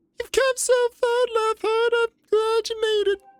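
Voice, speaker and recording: This put-on character voice sits at an extremely high pitch, moving at a moderate pace with monotone, flat intonation. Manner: gentle, welcoming.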